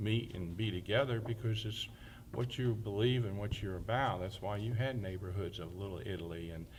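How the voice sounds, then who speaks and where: In an American accent, a man talks in a fairly low, somewhat breathy voice. His pitch varies in an ordinary way, and the room echo is audible. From New Jersey, then Alabama from age 12. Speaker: town mayor. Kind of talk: oral history testimony.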